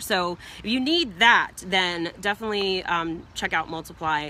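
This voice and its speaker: A woman speaks in an animated tone. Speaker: business coach. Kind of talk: live stream teaching. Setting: outdoors in backyard, live video. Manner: fast.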